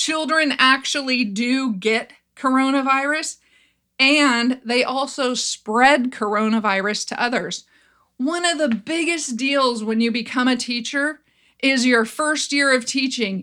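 Raised and projected, a woman's high, bright, sharp voice with an American accent moves at a fairly slow pace with ordinary pitch variation over a very clean, silent background. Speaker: educator and podcast host. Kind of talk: solo commentary podcast.

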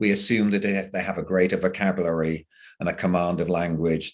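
With an English accent, a man speaks at a moderate pace in a very deep, low pitch and monotone, flat intonation. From England. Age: 70s. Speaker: professor. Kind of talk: interview.

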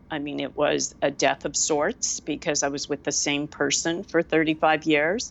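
A woman with a very deep, low voice and vocal fry talks at a moderate pace with fairly even intonation and hardly any pauses. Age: 60s. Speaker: wellness expert and podcast host. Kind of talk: casual chat.

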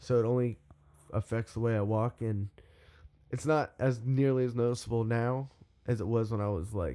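Pausing long and often, a man speaks at a medium pitch with fairly even intonation and a dark, mellow tone. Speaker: musician, singer in a band. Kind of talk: casual chat.

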